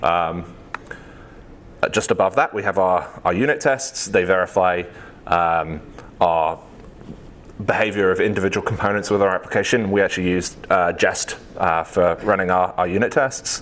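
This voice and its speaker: This man has a British accent and a very deep, low pitch with ordinary pitch variation. He keeps a moderate pace and very even loudness, with long, frequent pauses. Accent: British, noticeable. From UK. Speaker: software engineer, conference speaker. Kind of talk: tech talk. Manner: many fillers (um, uh).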